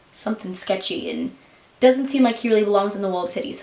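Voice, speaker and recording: Very fast speech from a woman at a medium pitch, ordinary pitch variation, and noticeable background noise behind it. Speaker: book vlogger. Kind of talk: casual chat.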